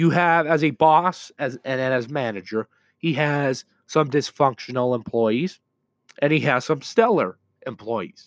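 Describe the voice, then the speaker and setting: With an unremarkable speaking voice, a man talks at a fairly high pitch using lively intonation. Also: dry, close sound with no echo. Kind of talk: heated sports rant, emphatic debate-style monologue.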